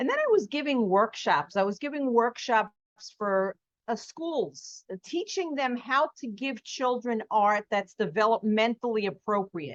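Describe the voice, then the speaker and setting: With a New York accent, a woman speaks at a fairly slow pace in a fairly high pitch and an animated tone. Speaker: artist and art teacher. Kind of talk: podcast interview.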